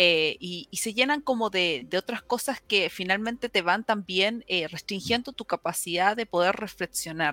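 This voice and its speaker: With hardly any pauses, a woman talks at a moderate pace and medium pitch in a bright, sharp tone with lively intonation, recorded very cleanly with a silent background and a dry, close sound with no echo. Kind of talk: interview conversation.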